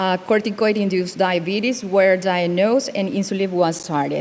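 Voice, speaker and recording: Noticeable background noise runs behind speech delivered at a moderate pace. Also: woman. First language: not English. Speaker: dermatologist. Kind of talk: conference case presentation. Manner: halting.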